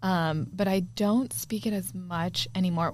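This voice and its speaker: The voice sounds somewhat breathy, with lively intonation. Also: woman. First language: Spanish. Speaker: podcast co-host. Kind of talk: casual chat.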